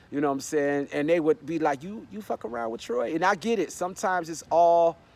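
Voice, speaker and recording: Speaking at a fairly quick pace against a quiet background, a man uses lively intonation and a fairly high pitch. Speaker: vlogger. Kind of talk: casual vlog monologue. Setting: outdoors. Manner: relaxed, halting.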